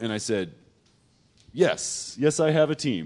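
A man talks with vocal fry. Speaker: game studio founder. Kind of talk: interview answers. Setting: stage with audience.

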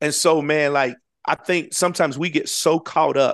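A man speaks with an American accent against a quiet background. The sound is dry and close, with no echo. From US South, Florida Panhandle. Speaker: pastor and football chaplain. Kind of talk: casual interview chat.

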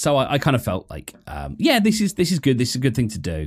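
Over a very clean recording with a silent background, a man with a British accent speaks with vocal fry. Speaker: podcast host. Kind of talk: casual monologue. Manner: fast; halting, many fillers.

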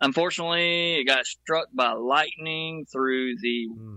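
A plain, everyday voice from a man, at a fairly slow pace with ordinary pitch variation. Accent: American. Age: 50s. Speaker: audio engineer and producer. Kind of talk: casual chat.

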